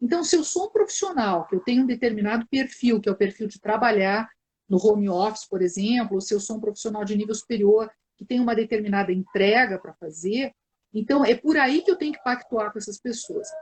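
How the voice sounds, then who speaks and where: A somewhat breathy voice at a fairly quick pace, with ordinary pitch variation. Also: woman, fairly high pitch for a woman. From southern Brazil, Porto Alegre. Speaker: psychologist, live stream host. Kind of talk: live stream conversation. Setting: online live video stream.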